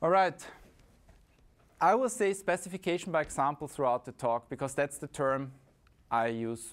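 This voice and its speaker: A man with an Austrian accent speaks at a fairly high pitch with lively intonation. He leaves long, frequent pauses, and the recording is very clean with a silent background. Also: moderate pace. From Austria, Vienna. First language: German. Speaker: conference speaker, software consultant. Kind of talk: conference talk.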